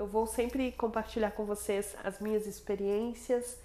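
This woman's voice sits at a fairly high pitch with a dark, mellow tone. Her intonation stays fairly even. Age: 20s. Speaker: integrative therapist and podcast host. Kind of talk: casual monologue introducing the podcast.

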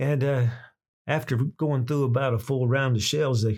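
Somewhat breathy, a man speaks at a medium pitch with ordinary pitch variation. The recording is very clean, with a silent background. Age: 60s. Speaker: chainsaw video channel host. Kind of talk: storytelling. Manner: casual, halting with repetitions.

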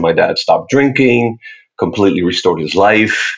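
With a Spanish accent, a man talks at a moderate speed. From Puerto Rico. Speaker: faith-based activist and speaker. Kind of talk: casual interview.

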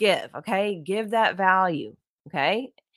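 Recorded very cleanly with a silent background, a woman speaks in an animated tone. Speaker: podcast host, social media coach. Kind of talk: solo podcast tutorial. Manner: loud.

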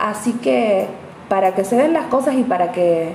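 A woman talks amid noticeable background noise, and audible echo from the room surrounds her voice. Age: 30s. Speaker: astrologer. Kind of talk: casual monologue podcast. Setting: home apartment.

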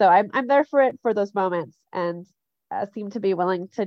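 A woman with a Canadian accent speaks at a fairly quick pace. Her pitch sits in the medium range. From Canada. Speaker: Quaker young adult friend. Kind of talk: casual interview. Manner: highly talkative.

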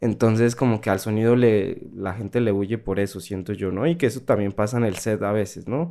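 This very clean recording, with a silent background, captures a man whose fairly low pitch comes with a dark, mellow tone. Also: ordinary pitch variation, fairly quick pace. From Colombia, Pasto (Nariño). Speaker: sound designer. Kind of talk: radio interview. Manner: hesitant, many fillers and repetitions.

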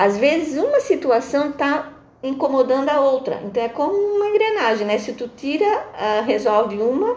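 High in pitch, a woman's voice makes very wide pitch swings. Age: 50s. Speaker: integrative therapist. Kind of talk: interview.

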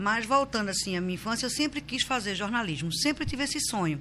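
Lively intonation from a woman, with noticeable background noise behind her. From Recife, Brazil. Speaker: social columnist and journalist. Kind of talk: casual interview. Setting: studio, live stream.

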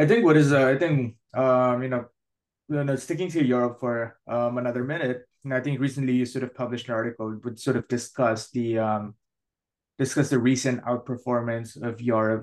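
A man talks at a fairly quick pace with a medium pitch and fairly even intonation, in an ordinary speaking voice. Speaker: podcast host. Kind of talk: interview conversation.

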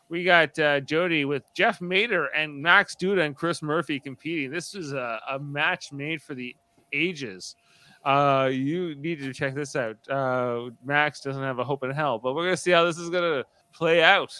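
On a very clean recording with a silent background, a man with a bright, sharp tone speaks at a moderate pace in a dry, close sound with no echo. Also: fairly high pitch for a man, ordinary pitch variation. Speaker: podcast host. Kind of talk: casual chat. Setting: live stream.

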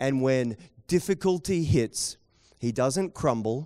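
With a New Zealand accent, a man talks at a medium pitch with lively intonation. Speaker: pastor. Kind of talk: sermon. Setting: church with live audience.

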